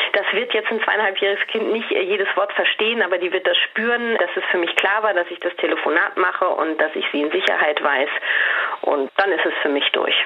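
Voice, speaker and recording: The voice moves at a fairly quick pace with ordinary pitch variation over noticeable background noise. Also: woman, medium pitch for a woman. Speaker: communication coach. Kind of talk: advice conversation. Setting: at home, remote call.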